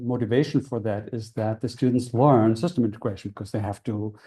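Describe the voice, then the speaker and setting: A man at a medium pitch, somewhat breathy, with a dark, mellow tone, fairly even intonation and a fairly quick pace. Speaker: university lecturer. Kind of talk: lecture. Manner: fast; hesitant, many fillers.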